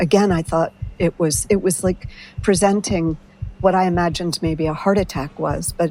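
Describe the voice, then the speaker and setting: This woman has an ordinary speaking voice, fairly low in pitch, moving at a fairly quick pace with fairly even intonation. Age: 60s. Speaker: writer sharing personal experience with medication. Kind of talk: personal testimony interview.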